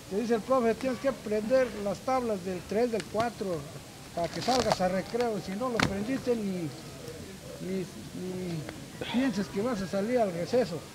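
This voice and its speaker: A man talks at a fairly slow pace in a high pitch with ordinary pitch variation. Noticeable background noise runs underneath. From Valle del Mezquital, Hidalgo, Mexico. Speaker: local community member interviewed at fair. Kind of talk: casual street interview. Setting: outdoors at village fair. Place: open country.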